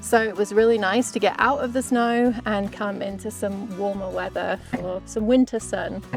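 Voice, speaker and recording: A woman at medium pitch, fairly slow and with fairly even intonation, over music in the background. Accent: English. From England. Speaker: podcast host and mounted shooter. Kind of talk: interview answer. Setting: outdoors.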